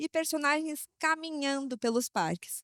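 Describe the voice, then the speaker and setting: A woman speaks in an animated tone with ordinary pitch variation. The sound is dry and close, with no echo. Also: very clean recording, silent background. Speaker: travel industry presenter. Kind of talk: trade show presentation. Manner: fast.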